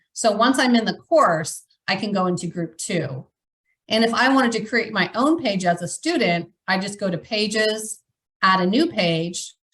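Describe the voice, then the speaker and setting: With a plain, everyday voice, a woman of medium pitch speaks at a moderate pace with lively intonation. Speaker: educational technology staff presenter. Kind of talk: webinar tutorial demonstration.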